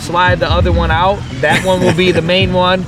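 A man talks at a high pitch as noticeable background noise fills the recording. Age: 30s. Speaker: podcast guest. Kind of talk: casual chat. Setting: outdoors in a park.

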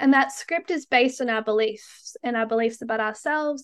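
Here a woman speaks with an Australian accent at a fairly quick pace. Her pitch is fairly high with ordinary variation, and the background is quiet. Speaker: tantric hypnotherapist. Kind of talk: casual interview chat.

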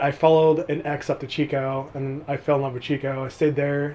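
In an American accent, a man with an ordinary speaking voice talks at a moderate pace, fairly high in pitch and with fairly even intonation. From California, Mojave Desert. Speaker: college student and gym worker. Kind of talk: casual interview. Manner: laughing often.

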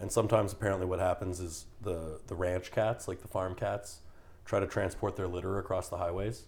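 With a Canadian accent, a man speaks at a fairly quick pace in a very deep, low pitch that sounds somewhat breathy. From Canada. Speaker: podcast guest, gym-goer. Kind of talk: casual chat. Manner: animated storytelling.

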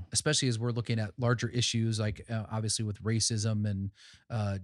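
In a very clean recording with a silent background, a man talks at a fairly quick pace. His medium-pitched voice is an ordinary speaking voice with fairly even intonation. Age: 40s. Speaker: pastor and nonprofit worker. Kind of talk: casual chat.

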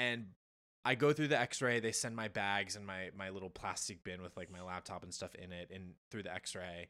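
In an American accent, a man talks in a very deep, low pitch with a bright, sharp tone and ordinary pitch variation. His loudness swings widely, over a very clean recording with a silent background. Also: moderate pace. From New Jersey. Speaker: journalist, former scientist. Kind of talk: casual chat. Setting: shared mic, home recording.

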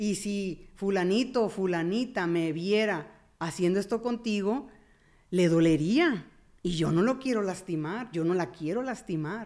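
In an unremarkable speaking voice, a woman talks at a fairly slow pace. Her pitch is medium, with ordinary variation. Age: 50s. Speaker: therapist. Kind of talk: casual chat.

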